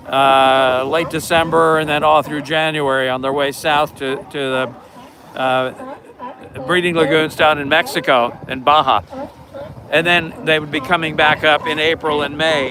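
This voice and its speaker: A man talks at a fairly slow pace as noticeable background noise continues around him. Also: fairly high pitch for a man, fairly even intonation. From Serbia. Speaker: marine mammal volunteer. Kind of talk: casual chat. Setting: outdoors.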